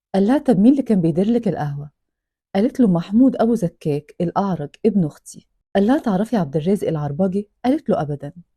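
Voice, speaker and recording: A woman with an Egyptian accent speaks at a fairly quick pace in a medium pitch, with very wide pitch swings. Her tone is dark and mellow, somewhat breathy, with a dry, close sound and no echo. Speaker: storyteller reading a true-crime book. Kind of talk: reading aloud with narration.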